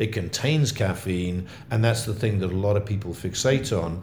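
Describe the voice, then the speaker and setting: The speaker uses lively intonation and a somewhat breathy voice at a moderate pace, with audible room echo. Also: man. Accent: English. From England. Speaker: coffee company founder. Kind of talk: interview. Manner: halting.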